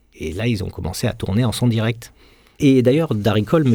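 A man speaks at a fairly quick pace in a medium pitch, his tone dark and mellow and somewhat breathy. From Marseille, southern France. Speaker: film sound engineer. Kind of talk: interview.

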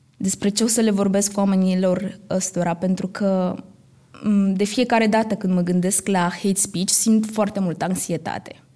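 A woman's somewhat breathy voice with a dark, mellow tone and monotone, flat intonation. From Romania, Roma community. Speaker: actress. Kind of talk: live stage talk. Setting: stage with audience.

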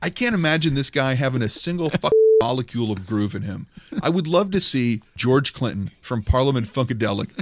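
With an ordinary speaking voice, a man talks at a medium pitch and a moderate pace, his intonation lively. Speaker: podcast host. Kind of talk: casual comedic banter, parody review of another podcast.

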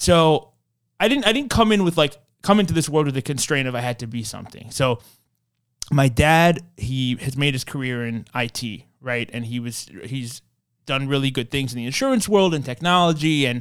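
A man speaks in a plain, everyday voice with fairly high pitch, lively intonation and a moderate pace, with an American accent, on a very clean recording with a silent background. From New York, Queens. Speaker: tourism agency founder. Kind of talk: interview. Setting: studio.

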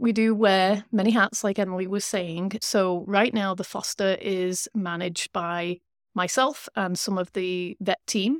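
Speaking at a fairly slow pace with a British accent, a woman is heard on a very clean recording with a silent background. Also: medium pitch for a woman, fairly even intonation, dry, close sound with no echo. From UK. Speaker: shelter veterinarian. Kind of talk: casual interview.

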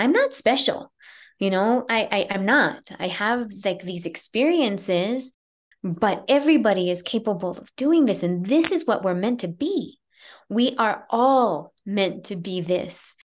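A woman with an unremarkable speaking voice talks at a fairly slow pace. Her pitch is fairly high, and her intonation is lively. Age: 50s. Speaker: near-death experiencer. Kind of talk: interview.

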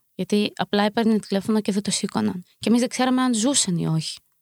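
A woman's fairly high voice at a very fast pace, with ordinary pitch variation, in a very clean recording with a silent background and a dry, close sound with no echo. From Ukraine, moved to Greece at 11. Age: 20s. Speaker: member of a Ukrainian women's community. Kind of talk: interview.

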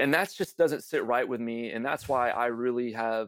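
A man with an American accent talks at a moderate pace in a medium pitch, a plain, everyday voice. The sound is dry and close with no echo, on a very clean recording with a silent background. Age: 30s. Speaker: reality TV contestant and patient advocate. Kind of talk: interview.

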